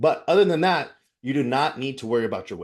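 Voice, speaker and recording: A man speaks at a fairly quick pace with a fairly high pitch. The background is quiet. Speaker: fitness coach. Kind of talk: online class presentation. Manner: fast; casual, filler-heavy.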